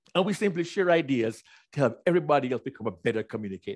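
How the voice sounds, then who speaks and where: Over a quiet background, a man talks very fast in an animated tone, his pitch swinging very widely. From Jamaica (Kingston). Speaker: keynote speaker. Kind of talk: keynote speech.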